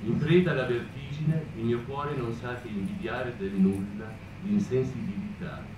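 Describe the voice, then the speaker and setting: Moderate pace, noticeable background noise and audible room echo. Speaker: poetry reader. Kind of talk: poetry reading. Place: hall. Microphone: camera far.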